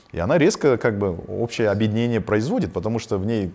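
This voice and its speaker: This man has a fairly low voice and speaks at a fairly quick pace. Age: 40s. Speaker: business owner. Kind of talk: interview. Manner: halting.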